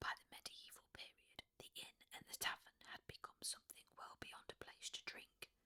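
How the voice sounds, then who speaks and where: The speaker is whispering. The delivery moves at a moderate pace. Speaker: sleep story narrator. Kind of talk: sleep story.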